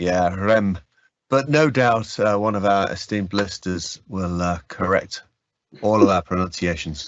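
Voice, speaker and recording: A man's fairly low voice, with a northern English accent, at a fairly slow pace. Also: ordinary pitch variation. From northern England. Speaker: user group host. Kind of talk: casual chat.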